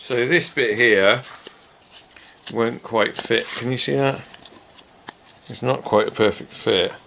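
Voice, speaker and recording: With an English accent, a man speaks fairly slowly with long, frequent pauses and light background noise. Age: 50s. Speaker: farmer and video host; video host. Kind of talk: casual tutorial. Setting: farm workshop. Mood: cheerful, relaxed. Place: workshop. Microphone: phone near.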